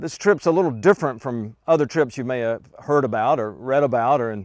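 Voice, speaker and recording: Against a quiet background, a man speaks very fast with ordinary pitch variation in a dry sound with no echo. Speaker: tour leader pastor. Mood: warm, enthusiastic. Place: forest. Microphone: lapel.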